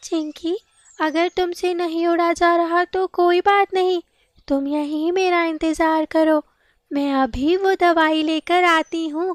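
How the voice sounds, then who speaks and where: A woman's cartoonish character voice at an extremely high pitch and a fairly slow pace. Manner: warm, encouraging.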